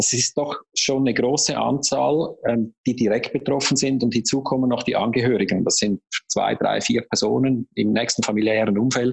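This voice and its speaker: A man talks at a moderate pace in a medium pitch with vocal fry. His intonation is fairly even and his loudness very even. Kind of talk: interview.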